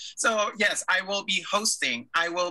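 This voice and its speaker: A man with a high-pitched voice speaks in an animated tone, raising and projecting his voice. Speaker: drag queen, stage host, educator. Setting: video call. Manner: animated, laughs often.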